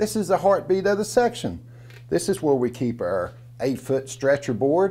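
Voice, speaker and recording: This man speaks at a fairly slow pace with a fairly high pitch and very wide pitch swings, in an Appalachian accent. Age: 60s. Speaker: storyteller. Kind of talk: storytelling performance. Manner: folksy, conversational.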